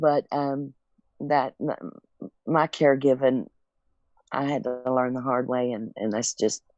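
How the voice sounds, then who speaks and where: In a Southern US accent, a woman with a very deep, low pitch speaks at a very slow pace with fairly even intonation. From Tennessee. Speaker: caregiver. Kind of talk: testimony.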